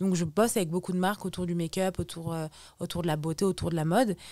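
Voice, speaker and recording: Over a very clean recording with a silent background, a woman talks at a very fast pace with fairly even intonation. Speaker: social media influencer. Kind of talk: podcast interview. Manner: loud; halting.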